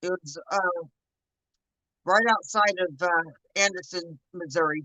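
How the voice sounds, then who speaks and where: Bright and sharp in tone, a woman with a Southern accent speaks at a very slow pace and a fairly low pitch, with ordinary pitch variation. The sound is dry and close, without echo. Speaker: livestream host, home painter and canner. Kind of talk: casual chat. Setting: late-night livestream from art studio.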